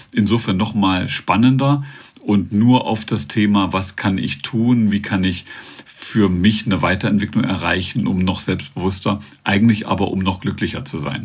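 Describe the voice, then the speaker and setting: A man's fairly low voice, with ordinary pitch variation, moves at a moderate pace against noticeable background noise. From eastern Germany, northern Thuringia. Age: 50s. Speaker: author and public speaker. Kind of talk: interview.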